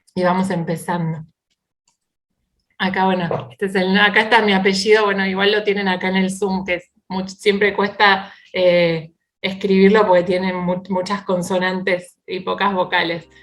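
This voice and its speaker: With flat, monotone intonation, the woman talks rather slowly. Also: medium pitch for a woman. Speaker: Bible teacher and speaker. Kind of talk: online talk. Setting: video call.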